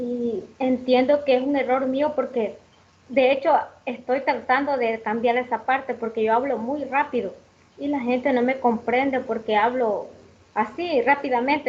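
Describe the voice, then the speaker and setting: High-pitched female speech at a moderate pace, with fairly even intonation. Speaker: student teacher. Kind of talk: class discussion.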